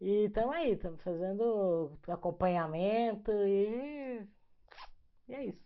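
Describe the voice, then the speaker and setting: Her pitch medium and her intonation lively, a woman speaks at a very slow pace. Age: 60s. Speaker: lawyer, breast cancer survivor. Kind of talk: personal testimony in interview. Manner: casual, halting.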